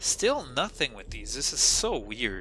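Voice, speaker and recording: Music can be heard in the background. Over it, a man talks at a fairly slow speed. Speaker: game commentator. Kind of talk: live game commentary. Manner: casual, self-interrupting.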